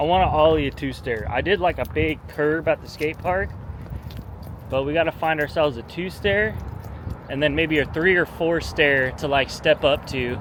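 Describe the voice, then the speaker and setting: A man with an American accent speaks at a fairly high pitch with ordinary variation, amid noticeable background noise. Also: moderate pace. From Southern California (Long Beach). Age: 30s. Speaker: vlogger. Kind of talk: casual vlog talk. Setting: outdoors, walking. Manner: casual, laid-back.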